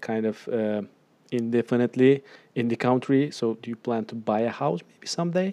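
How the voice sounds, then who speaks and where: A man talks at a moderate pace in medium pitch, with ordinary pitch variation. His is an unremarkable speaking voice. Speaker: podcast host. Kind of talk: casual interview chat.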